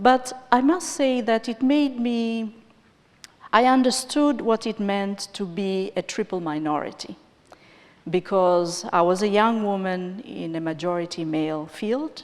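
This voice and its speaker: A woman with an East African accent speaks at a fairly slow pace. Her intonation is lively. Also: medium pitch for a woman. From Tanzania. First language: Swahili. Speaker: finance and development executive. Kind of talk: conference interview.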